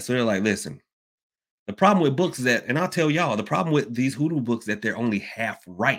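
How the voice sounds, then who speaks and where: A man with a Southern US accent talks very fast at a medium pitch, his intonation lively. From US South, Georgia. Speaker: livestream host on hoodoo. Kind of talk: casual livestream talk. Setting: live online stream. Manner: casual, animated, chatty, laughs often.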